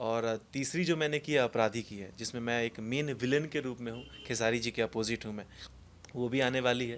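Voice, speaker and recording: A man's medium-pitched voice at a moderate pace with fairly even intonation. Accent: Bihar. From Mithila region, Bihar, India. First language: Maithili (speaking Hindi). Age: young. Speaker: film actor. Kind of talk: interview.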